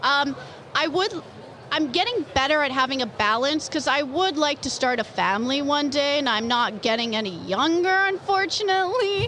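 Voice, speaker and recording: Projecting her voice over noticeable background noise, a woman with a Canadian accent speaks at a moderate pace in a high voice, with very wide pitch swings and very even loudness. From Canada. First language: Polish. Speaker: comic book artist. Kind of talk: interview.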